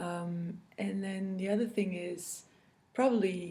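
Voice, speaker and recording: Very slow speech from a woman, audible room echo around her. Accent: French. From France. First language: French. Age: 40s. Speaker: cross-stitch video blogger. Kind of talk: casual chat. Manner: halting, many fillers.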